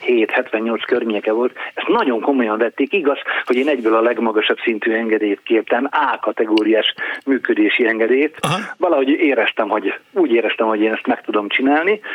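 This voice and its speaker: A man with an ordinary speaking voice talks at a fairly quick pace, medium in pitch, with ordinary pitch variation. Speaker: radio editor-in-chief, former DJ. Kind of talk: interview. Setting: phone call.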